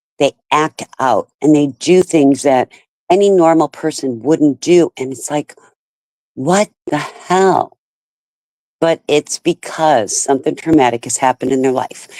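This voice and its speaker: The speech moves at a fairly slow pace with ordinary pitch variation. The tone is dark and mellow, and the sound is dry and close with no echo. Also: woman, very deep, low pitch for a woman. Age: 60s. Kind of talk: casual chat.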